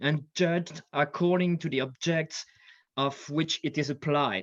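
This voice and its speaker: This man speaks with a French accent. His pitch is fairly high, with ordinary variation. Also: quiet background. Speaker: military history scholar and lecturer. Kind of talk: conference panel talk. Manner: hesitant, many fillers.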